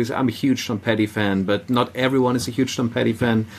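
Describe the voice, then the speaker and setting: Noticeable background noise sits behind a man speaking at a moderate pace. His pitch is medium and his intonation fairly even. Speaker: musician and concert organiser. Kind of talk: casual interview chat.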